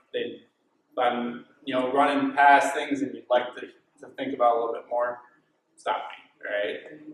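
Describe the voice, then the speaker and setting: With an American accent, a man talks at a moderate pace in audible room echo. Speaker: dairy farmer. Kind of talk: conference talk.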